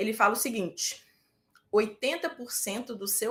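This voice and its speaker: A woman speaks in a fairly high pitch with a Minas Gerais accent. Her tone is animated. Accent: Minas Gerais Brazilian. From Brazil, Minas Gerais. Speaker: medical residency exam prep teacher. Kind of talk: live online class. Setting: live stream with chat.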